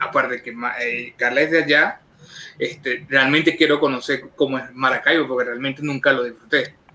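Amid noticeable background noise, a man speaks in a flat monotone at a fairly high pitch and a moderate pace. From Venezuela, Carabobo. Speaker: online show co-host. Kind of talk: casual interview.

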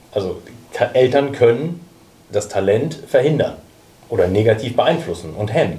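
Against noticeable background noise, a man with a medium pitch and lively intonation talks at a moderate pace, leaving long, frequent pauses. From Hamburg. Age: 30s. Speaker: youth academy sporting director. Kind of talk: panel discussion.

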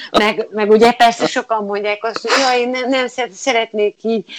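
The woman's intonation stays fairly even as she talks at a moderate pace. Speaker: theatre audio describer, former teacher. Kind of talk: interview. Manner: halting.

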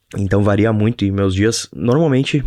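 Against a quiet background, a man with a southern Brazilian accent speaks at a moderate pace in a fairly low pitch. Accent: gaucho (southern Brazilian). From Brazil, Rio Grande do Sul (Novo Hamburgo). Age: 20s. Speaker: podcaster and YouTuber, entrepreneur. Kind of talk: casual solo monologue. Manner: halting, repeats words.

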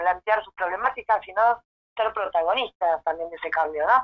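An unremarkable speaking voice from a woman at medium pitch, fairly slow in pace, with lively intonation. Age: 40s. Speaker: local politician. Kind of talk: interview.

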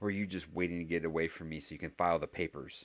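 A man puts on a character voice with a very deep, low pitch at a very fast pace. There is hissing over a quiet background. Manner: hissing, accusatory, bitter.

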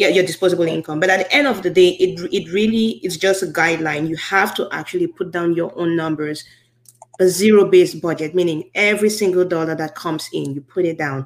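A normal speaking voice, fairly quick in pace, with fairly even intonation. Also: woman, fairly low pitch for a woman. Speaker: podcast host. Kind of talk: casual interview, podcast host. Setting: live-streamed show, online.

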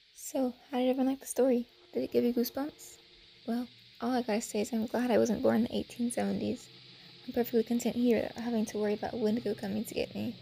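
A woman's high-pitched, playful and animated voice at a very fast pace over background music. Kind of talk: casual podcast outro. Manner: chatty, playful, animated.

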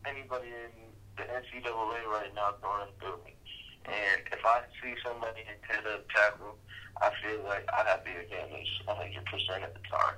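An ordinary speaking voice, this man talks at a moderate pace in a fairly low pitch, intonation fairly even but with big swings in loudness. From moved around US and London; high school in Las Vegas, Nevada. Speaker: college football player. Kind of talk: sports interview.

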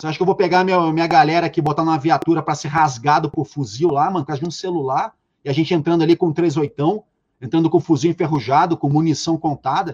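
A man's fairly high voice with a Rio de Janeiro accent, at a very fast pace, in a dry, close recording with no echo. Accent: Carioca Brazilian Portuguese. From Rio de Janeiro, Penha suburb. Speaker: reality show consultant. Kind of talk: casual chat. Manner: animated.

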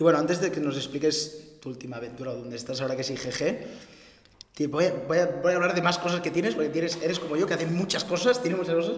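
Very fast speech from a man, high in pitch with ordinary variation, with audible room echo and noticeable background noise. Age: 20s. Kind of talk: casual interview. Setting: rented office.

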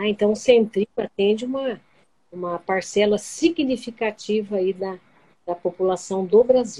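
In a dark, mellow tone, a woman speaks at a fairly slow pace. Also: medium pitch for a woman, ordinary pitch variation. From Brazil, Bauru (São Paulo state). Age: 60s. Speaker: retired social worker. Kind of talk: interview.

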